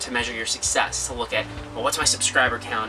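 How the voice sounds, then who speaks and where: A man talking at a very fast pace over music in the background. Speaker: channel host. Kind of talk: casual vlog chat. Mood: warm, encouraging. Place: home room.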